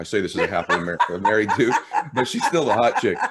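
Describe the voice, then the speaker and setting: A man with an energetic tone and a medium pitch talks at a very fast pace against a quiet background. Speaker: podcast host. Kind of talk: interview. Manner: clearly articulated.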